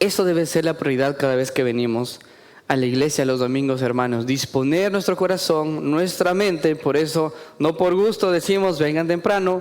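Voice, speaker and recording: With noticeable background noise behind him, a man speaks at a moderate pace in a fairly high pitch with ordinary pitch variation. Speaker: preacher. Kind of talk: sermon. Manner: animated.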